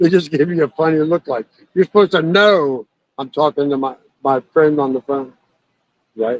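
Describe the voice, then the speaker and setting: A man with a fairly high pitch and ordinary pitch variation talks at a moderate pace, leaving long, frequent pauses. The sound is dry and close, with no echo. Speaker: shooting competitor. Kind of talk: casual chat. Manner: loud.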